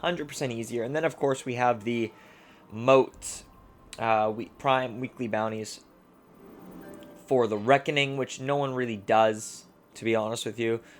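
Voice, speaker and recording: A man talks at a medium pitch with fairly even intonation and long, frequent pauses while music plays in the background. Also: moderate pace. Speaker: gaming video creator. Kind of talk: gameplay tutorial. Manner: stumbling over words; casual.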